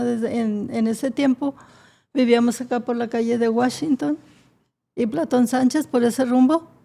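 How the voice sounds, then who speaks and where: A woman with a high pitch and a dark, mellow tone speaks at a fairly slow pace. Her intonation stays fairly even, and the recording is very clean with a silent background. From northern Mexico, Monterrey area (Nuevo León). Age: 80s+. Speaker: founder of a patient association, mother. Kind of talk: interview testimony.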